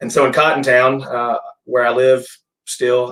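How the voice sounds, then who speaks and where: This is a man with a Middle Tennessee accent. His voice is medium in pitch. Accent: US Southern (Middle Tennessee). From Tennessee, Gallatin area. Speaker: brewery and restaurant owner. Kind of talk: casual interview. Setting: office, live stream. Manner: halting with fillers.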